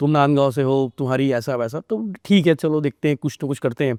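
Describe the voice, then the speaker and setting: An unremarkable speaking voice at a moderate pace, dry and close with no echo, against a quiet background. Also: man. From Chhattisgarh, India (Rajnandgaon). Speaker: journalist and news portal founder. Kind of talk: podcast interview.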